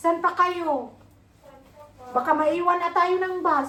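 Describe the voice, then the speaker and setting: Projecting her voice, a woman speaks at an extremely high pitch with fairly even intonation. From Philippines. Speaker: vlogger. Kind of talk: casual vlog chat. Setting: workplace, walking to bus. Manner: loud.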